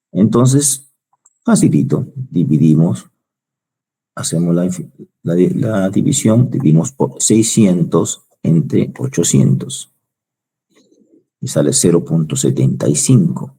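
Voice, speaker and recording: A man speaks at a very slow pace with a very deep, low pitch, vocal fry, a dark, mellow tone, very wide pitch swings and long, frequent pauses. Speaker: university lecturer. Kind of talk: online lecture.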